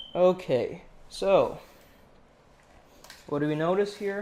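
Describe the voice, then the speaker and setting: A man talks at a very slow pace in a high pitch. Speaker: drone unboxing youtuber. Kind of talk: casual unboxing commentary. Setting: home studio, USB microphone.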